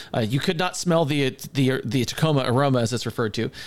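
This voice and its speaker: Very fast, lively speech from a man with an American accent. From US West Coast. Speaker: podcast co-host. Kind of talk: casual chat. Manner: halting.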